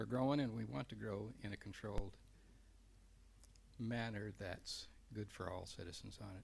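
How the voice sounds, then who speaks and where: Vocal fry runs through this man's fairly low-pitched voice as he talks at a fairly quick pace. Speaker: council seat applicant. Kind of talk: interview. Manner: soft-spoken. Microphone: too quiet.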